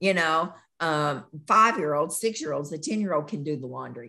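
A woman with a Southern US accent talks with a bright, sharp tone and lively intonation against a quiet background. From US South, western Kentucky. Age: 50s. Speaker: nurse practitioner. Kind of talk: casual interview.

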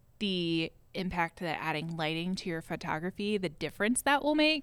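Fairly low female voice on a very clean recording with a silent background. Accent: US Midwestern. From Ohio, US Midwest (Westerville). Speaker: former photo store employee. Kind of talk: casual chat.

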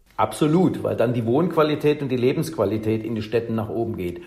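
A man talks at a fairly quick pace and medium pitch with ordinary pitch variation over noticeable background noise. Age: 50s. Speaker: professor of electric transport systems. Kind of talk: interview.

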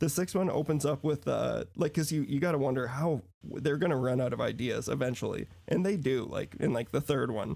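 Speaking at a fairly quick pace, a man with a dark, mellow tone and vocal fry keeps his loudness very even while his pitch varies in an ordinary way. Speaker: podcast guest, movie fan. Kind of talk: casual chat. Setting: video call.

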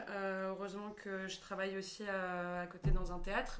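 With noticeable background noise and audible room echo, a woman speaks at medium pitch and a fairly slow pace. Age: 20s. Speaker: stage actress. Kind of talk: casual chat.

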